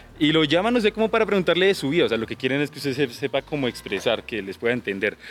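A man talks at a very fast pace, his fairly high pitch making very wide swings. Noticeable background noise runs underneath. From Colombia, Boyacá (Duitama). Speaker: call center agent. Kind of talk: casual chat. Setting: outdoors.

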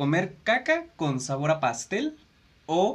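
In a Mexican accent, a man talks at a very slow pace with a fairly high pitch. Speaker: podcast co-host. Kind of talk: casual chat.

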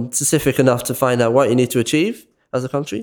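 With a Dublin accent, a man speaks at a fairly quick pace on a very clean recording with a silent background. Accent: Dublin Irish. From Ireland, west Dublin. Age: 20s. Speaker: youth volunteer podcaster. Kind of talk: casual discussion.

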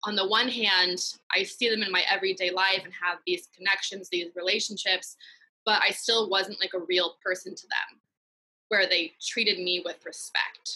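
With an American accent, this bright, sharp voice keeps a moderate pace and a monotone, flat intonation. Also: woman, medium pitch for a woman. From US West Coast (San Francisco Bay Area, East Bay). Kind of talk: interview testimony.

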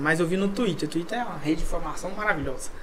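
A man's high-pitched voice is heard with noticeable background noise. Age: 20s. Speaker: football fan podcast host. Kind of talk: casual chat.

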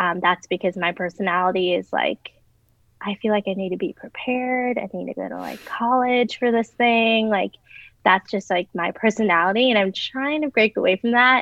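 An ordinary speaking voice from a woman, fairly high in pitch, with ordinary pitch variation at a moderate pace. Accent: American. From US Midwest, Chicago. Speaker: former recruiter in career change. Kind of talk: casual chat.

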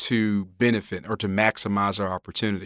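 Bright, sharp tone from a man at a fairly quick pace, with fairly even intonation, dry and close with no echo, in a very clean recording with a silent background. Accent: Mississippi. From rural Mississippi (Hazlehurst area). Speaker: federal agency chairman. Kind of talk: interview. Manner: halting, many fillers.

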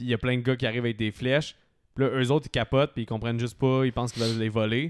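A man talks at a very fast pace in a medium pitch with monotone, flat intonation. The recording is very clean with a silent background and a dry, close sound with no echo. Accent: Quebec. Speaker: podcast host. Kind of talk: casual chat.

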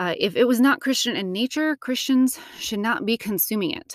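The recording is very clean with a silent background, the sound dry and close with no echo. A woman with an ordinary speaking voice talks at a fairly quick pace with lively intonation. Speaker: podcast host. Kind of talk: solo podcast monologue.

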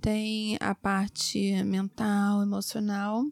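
A woman's fairly high voice, dry and close with no echo. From Rio de Janeiro, Brazil. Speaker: gynecologist. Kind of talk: expert interview.

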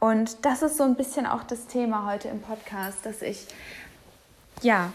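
At a fairly slow pace, a woman speaks in a somewhat breathy, fairly high voice with ordinary pitch variation. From Hamburg, northern Germany. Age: 20s. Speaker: podcast host. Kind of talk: casual solo monologue. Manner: casual, with fillers and laughter.

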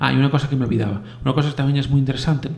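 A man speaks with monotone, flat intonation. Noticeable background noise is present. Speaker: podcast host. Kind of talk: casual solo podcast talk. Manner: fast; halting, many repetitions.

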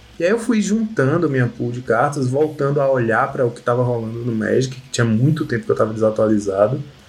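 A somewhat breathy, medium-pitched man talking at a very fast pace. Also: ordinary pitch variation, hardly any pauses. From Bahia, Brazil. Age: 30s. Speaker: Magic card game player. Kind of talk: casual chat.

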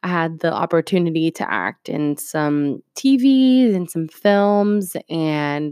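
A woman speaks at a fairly low pitch in a dry, close sound with no echo, the recording very clean with a silent background. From Puerto Rico, then Ohio from age eight. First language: Spanish. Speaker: podcast host, aura photographer. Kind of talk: casual monologue.

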